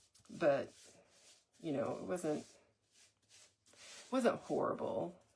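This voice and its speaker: Speech at a very slow pace comes in a Texas accent. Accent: US South, Texas. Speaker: crafter doing a live DIY stream. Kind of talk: live tutorial chat. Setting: livestream.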